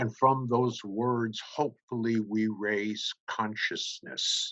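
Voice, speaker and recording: A man's very slow speech in a monotone, flat intonation. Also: medium pitch for a man. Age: 70s. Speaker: speaker at a charity summit. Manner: formal.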